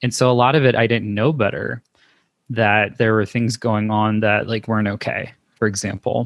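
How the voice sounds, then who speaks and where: A man with a General American accent and a normal speaking voice, fairly low in pitch, fairly even in intonation, at a moderate pace. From US West Coast, Los Angeles. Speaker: LGBTQ+ educator and social worker. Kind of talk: casual interview.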